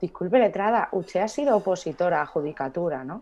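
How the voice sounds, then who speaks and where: This woman's voice sits at medium pitch. She talks at a medium pitch for a woman. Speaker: lawyer. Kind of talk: casual chat. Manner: fast.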